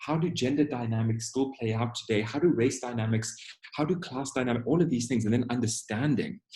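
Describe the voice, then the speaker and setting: The voice is dark and mellow, somewhat breathy, moving at a fairly quick pace with ordinary pitch variation. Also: man, medium pitch for a man. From South Africa. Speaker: diversity and inclusion trainer. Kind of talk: webinar Q&A. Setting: online webinar. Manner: conversational.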